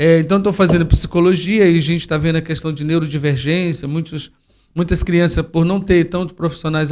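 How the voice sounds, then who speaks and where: Fairly even in intonation, a man talks at a fairly high pitch. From Brasília, Brazil. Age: 60s. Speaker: football coach and educator for youth. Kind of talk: interview conversation. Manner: halting, with repeated fillers.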